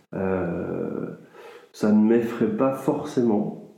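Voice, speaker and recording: A man with a dark, mellow tone and a fairly low pitch speaks at a very slow pace with ordinary pitch variation, and audible room echo surrounds his voice. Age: 40s. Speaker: interviewee sharing views on death. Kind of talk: interview testimony. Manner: hesitant, many fillers.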